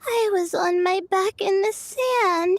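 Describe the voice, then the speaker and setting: A woman puts on a character voice at an extremely high pitch. She talks at a fairly slow pace with fairly even intonation. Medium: video game. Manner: hesitant, full of "uh"s.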